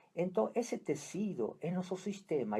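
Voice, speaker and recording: In an Argentine accent, a man with a high voice and a dark, mellow tone talks at a fairly slow pace. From Argentina, Buenos Aires. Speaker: psychiatrist, family constellation therapist. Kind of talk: radio interview. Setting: radio studio.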